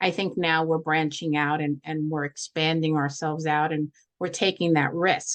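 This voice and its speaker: Speaking at a moderate pace with a New York accent, a woman has a very deep, low pitch, and the sound is dry and close with no echo. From New York, Brooklyn. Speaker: social worker and holistic practitioner. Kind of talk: workshop talk and Q&A. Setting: video call.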